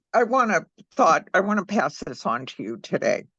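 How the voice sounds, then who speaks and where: A woman's bright, sharp tone comes with vocal fry at a moderate pace. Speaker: psychic medium. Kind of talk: casual chat.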